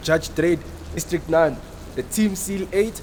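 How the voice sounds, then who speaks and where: Noticeable background noise sits under speech that has ordinary pitch variation. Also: man. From born in DR Congo, raised in South Africa. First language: French and Swahili. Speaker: local tour guide. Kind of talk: guided tour conversation.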